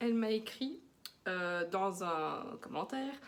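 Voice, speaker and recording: With a slight Belgian accent, a woman speaks at a fairly slow pace with very wide pitch swings. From Belgium. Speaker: knitting podcaster. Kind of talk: casual chat. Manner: hesitant, with many fillers.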